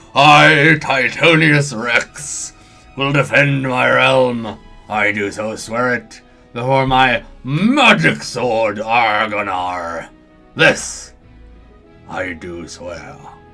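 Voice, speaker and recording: A man's put-on, rumbling character voice at a medium pitch, very slow, over faint background music. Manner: regal, vowing.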